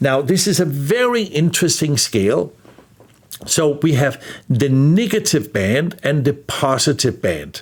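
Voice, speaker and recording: Speaking at a fairly slow pace with a slight Danish accent, a man uses a fairly high pitch and very wide pitch swings, with vocal fry and very even loudness. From Denmark. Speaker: life skills teacher. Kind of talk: lecture.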